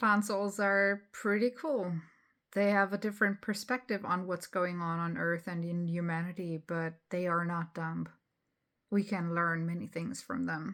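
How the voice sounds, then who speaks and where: A woman with a non-native accent speaks at a fairly slow pace, her fairly low pitch held in fairly even intonation. The recording is very clean, with a silent background. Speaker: spiritual channel host. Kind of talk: casual talk to camera. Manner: hesitant, many fillers.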